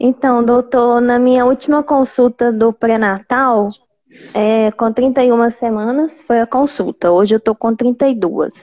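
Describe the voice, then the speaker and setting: Speaking very slowly, a woman uses a high pitch, fairly even intonation and very even loudness. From Belo Horizonte, Brazil. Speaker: pregnant caller. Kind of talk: live Q&A call-in.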